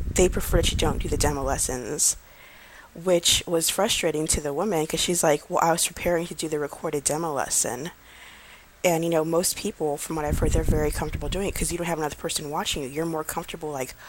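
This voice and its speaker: Quietly and at a very fast pace, a woman talks in a very deep, low pitch. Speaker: vlogger, online English teacher applicant. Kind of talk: casual vlog talk. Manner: quiet, low-key; calm, not hyperactive.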